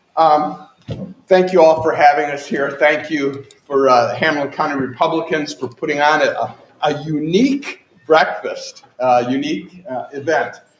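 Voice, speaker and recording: Audible room echo colors speech delivered at a moderate pace. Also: man, fairly high pitch for a man. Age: 60s. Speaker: political candidate. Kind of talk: campaign speech. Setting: stage with audience. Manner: animated.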